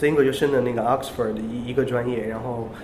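A voice with fairly even intonation, set against noticeable background noise and audible room echo. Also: man. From China. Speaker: podcast co-host, English educator. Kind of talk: casual chat.

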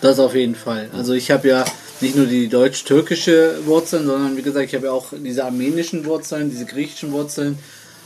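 At a fairly quick pace, a man speaks in a medium pitch with fairly even intonation, against noticeable background noise. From Germany, German-Turkish family. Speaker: painter. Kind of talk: interview.

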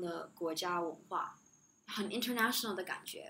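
A woman with a non-native accent, in audible room echo. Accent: noticeable non-native accent in Chinese. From Shanghai and the US (near Chicago), mixed upbringing. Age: 20s. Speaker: international school graduate. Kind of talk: interview. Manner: soft-spoken.

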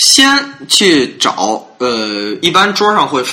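A man's voice over noticeable background noise. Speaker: podcast host. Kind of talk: casual chat.

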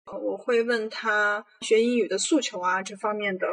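A woman talks at a fairly slow pace in a normal speaking voice, her pitch fairly high. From Xinjiang, China. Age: 20s. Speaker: freelance writer telling her own story. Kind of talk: personal testimony.

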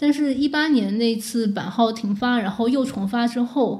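With a plain, everyday voice, a woman speaks at a fairly high pitch with fairly even intonation. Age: 20s. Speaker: former game media editor. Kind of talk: podcast conversation.

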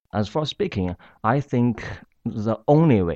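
With a Chinese accent, a man speaks at a fairly slow pace in a dry, close sound with no echo against a quiet background. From China. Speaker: university student. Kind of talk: interview. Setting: studio. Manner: halting.

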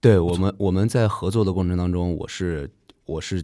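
A man speaks with a very deep, low pitch and a dark, mellow tone. His intonation stays fairly even on a very clean recording with a silent background. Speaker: dancer and theatre director. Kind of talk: casual podcast interview. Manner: nervous at first.

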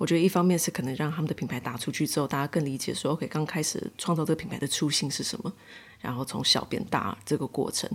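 On a very clean recording with a silent background, a woman talks at a very fast pace in a very deep, low pitch. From Taiwan. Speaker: market organiser and co-founder. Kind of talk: interview conversation.

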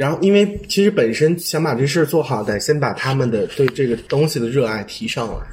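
Man at a fairly quick pace, lively intonation, hardly any pauses, noticeable background noise. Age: 20s. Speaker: fashion designer. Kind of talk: casual chat.

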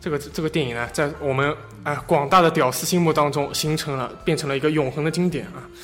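Over noticeable background noise, a man with a strong Shanghai accent speaks at a very fast pace with fairly even intonation. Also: fairly high pitch for a man. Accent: strong Shanghainese accent in Mandarin. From Shanghai, China. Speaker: podcast host. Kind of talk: casual chat.

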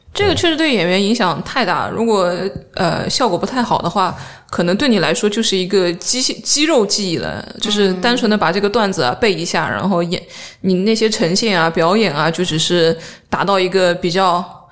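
Through noticeable background noise and audible room echo, a woman talks at a moderate pace with a medium pitch and ordinary pitch variation. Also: very even loudness. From southern China, Jiangsu-Zhejiang-Shanghai region. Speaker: stand-up comedian. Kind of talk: casual chat.

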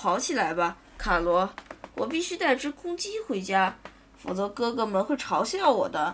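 Someone reads a text out plainly. Nothing more is done with the words.

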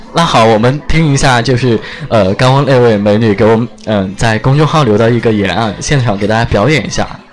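The speaker has a Sichuan accent and ordinary pitch variation. Noticeable background noise is present. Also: man, medium pitch for a man, fairly quick pace. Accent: Sichuan-accented Mandarin. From Chengdu, Sichuan. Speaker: live-stream radio host. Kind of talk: live-stream chat and interviews. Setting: restaurant, on-location live stream. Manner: animated.

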